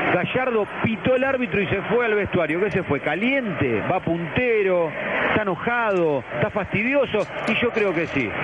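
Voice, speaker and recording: This man has a high pitch and lively intonation, moving at a moderate pace with very even loudness. Noticeable background noise sits behind him. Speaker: football match radio commentator. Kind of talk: live radio sports commentary. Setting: radio broadcast.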